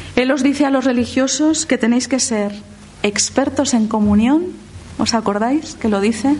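Over noticeable background noise, a woman speaks at a high pitch and a fairly slow pace, with ordinary pitch variation and very even loudness. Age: 50s. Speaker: lay theologian and speaker. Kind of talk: lecture.

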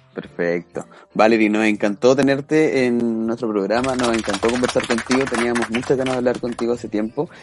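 The speaker talks at a fairly quick pace with hardly any pauses and fairly even intonation, against noticeable background noise. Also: man, medium pitch for a man. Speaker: podcast co-host. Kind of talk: casual chat.

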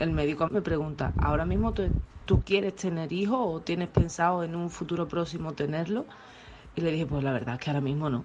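The speaker has a plain, everyday voice. The pace is fairly quick, with ordinary pitch variation. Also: woman, fairly low pitch for a woman. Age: 30s. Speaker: listener sending voice message. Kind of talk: personal testimony.

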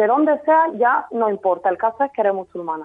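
This woman's voice is high with lively intonation. She talks at a moderate pace. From Spain, Jaén (Andalusia). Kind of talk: radio interview.

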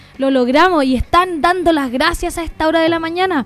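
A woman with a Chilean accent speaks at a moderate pace with ordinary pitch variation. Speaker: radio host. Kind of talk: casual chat.

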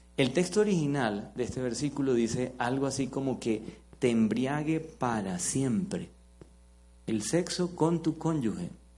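Music plays in the background, and there is audible room echo. The speech is fairly slow, with lively intonation. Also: man. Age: 40s. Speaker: pastor. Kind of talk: sermon. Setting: church with live congregation. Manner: interactive, engaging the audience.

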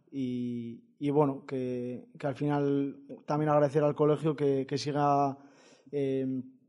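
His pitch sits fairly high. The man's intonation is fairly even. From Basque Country, Vitoria. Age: 20s. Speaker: football coach and author. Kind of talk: interview. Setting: studio. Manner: halting.

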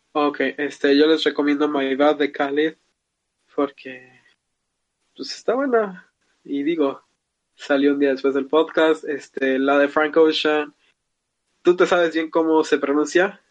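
Here a man speaks fairly slowly in a fairly high voice, leaving long, frequent pauses. His intonation is fairly even. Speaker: podcast host. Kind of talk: casual chat.

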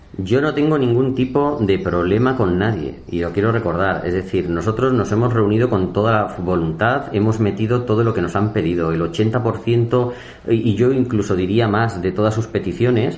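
A man with a fairly low pitch speaks at a moderate pace with hardly any pauses, his loudness very even and his pitch varying in an ordinary way, with audible room echo and noticeable background noise. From Spain, Madrid region. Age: 40s. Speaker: mayor. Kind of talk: interview. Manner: hesitant with fillers.

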